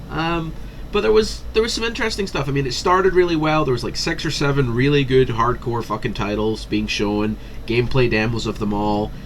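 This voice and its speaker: Speaking at a moderate pace in a Scottish accent, a man is heard with audible room echo and noticeable background noise. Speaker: gaming commentator. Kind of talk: casual commentary. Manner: animated.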